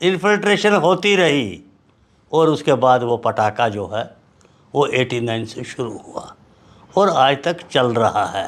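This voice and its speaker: Very wide pitch swings and vocal fry in a man's speech. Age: 70s. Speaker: political veteran. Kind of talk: interview.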